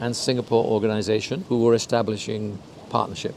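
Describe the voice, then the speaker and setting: A man talks at a medium pitch. Noticeable background noise is heard behind him. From UK. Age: 70s. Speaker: intercultural consultant. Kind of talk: interview.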